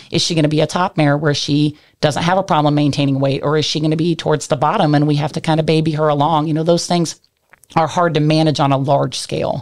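A woman with an American accent talks at a very fast pace and a very deep, low pitch, in a monotone, flat intonation with very even loudness. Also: quiet background. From Kansas. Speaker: equine reproduction center manager. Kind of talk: interview. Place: studio. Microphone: studio mic.

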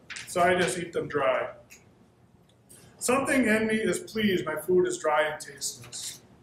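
Amid light background noise and audible room echo, a high-pitched man speaks at a moderate pace. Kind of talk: reading aloud from a novel. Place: cafe. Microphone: camera far.

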